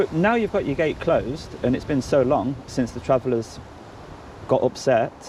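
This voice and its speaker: Here a man with a Leicester accent has a fairly high pitch. He keeps a moderate pace with lively intonation. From Leicester, England. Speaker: citizen journalist auditor. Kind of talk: casual chat.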